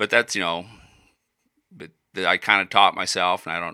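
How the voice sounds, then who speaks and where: Bright and sharp in tone, a man with a Midwestern US accent talks at a fairly quick pace in a very clean recording with a silent background and a dry, close sound with no echo. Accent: US Midwest. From Iowa. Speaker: musician and woodworker. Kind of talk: casual chat.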